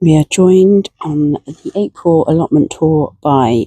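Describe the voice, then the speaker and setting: In a British accent, a woman with a very deep, low, dark and mellow voice speaks at a fairly slow pace with ordinary pitch variation, the sound dry and close with no echo. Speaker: gardening vlogger. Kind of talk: casual garden tour vlog. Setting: outdoors at allotment. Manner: whispering quietly.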